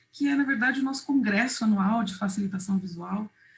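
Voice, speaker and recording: Somewhat breathy, this voice varies its pitch in an ordinary way. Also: woman. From Uruguay, raised in Brazil. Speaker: visual facilitation trainer. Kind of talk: online workshop presentation.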